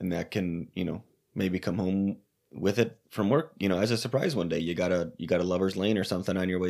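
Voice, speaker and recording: A man speaks at a fairly quick clip in a very deep, low voice with ordinary pitch movement. The recording is very clean, with a silent background. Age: 30s. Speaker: podcast co-host. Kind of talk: casual chat.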